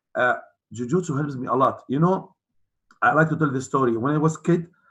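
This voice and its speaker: A fairly high-pitched man with an Arabic accent, at a fairly quick pace, with ordinary pitch variation. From UAE, of Palestinian family. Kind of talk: interview. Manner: halting, repeats words.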